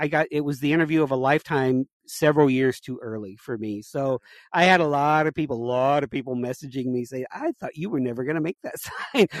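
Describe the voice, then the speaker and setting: A man with an unremarkable speaking voice talks at a fairly quick pace, his fairly high pitch showing ordinary pitch variation. The sound is dry and close with no echo, over a quiet background. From Las Vegas area, Nevada. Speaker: sign maker. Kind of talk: casual chat.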